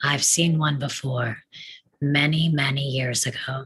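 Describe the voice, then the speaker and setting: Putting on a character voice, a man speaks at a fairly slow pace with a fairly high pitch and a monotone, flat intonation. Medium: stage play. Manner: calm, measured.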